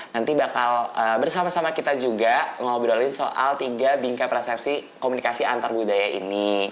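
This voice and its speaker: A woman speaks at a moderate pace with hardly any pauses, her very deep, low pitch showing ordinary variation. Noticeable background noise and audible room echo fill the recording. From Manado, North Sulawesi. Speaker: student podcast host. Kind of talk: explanatory lecture; casual chat. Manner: hesitant, many fillers.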